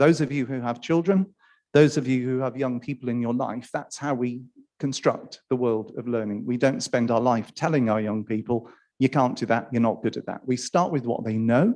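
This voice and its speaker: A man with a Welsh accent speaks at a moderate pace and medium pitch with ordinary pitch variation. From Wales. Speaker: academic panelist. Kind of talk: conference panel talk.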